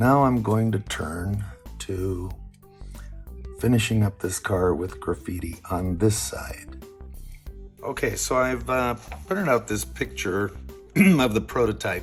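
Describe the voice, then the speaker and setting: A man's fairly low voice at a fairly slow pace, with long, frequent pauses, very wide pitch swings, and music in the background. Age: 70s. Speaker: model railroad hobbyist. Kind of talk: hobby tutorial narration. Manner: casual, hesitant with fillers.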